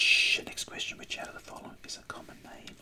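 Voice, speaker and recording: Someone whispers quietly over noticeable background noise. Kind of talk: tutorial. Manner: quiet ASMR whisper, Australian accent. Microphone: phone near.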